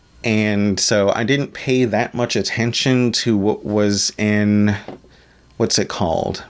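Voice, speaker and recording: A man's unremarkable speaking voice with an American accent, fairly low and fairly slow, with ordinary pitch variation. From Maryland, US. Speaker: podcast host. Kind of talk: solo podcast monologue. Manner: casual, with fillers.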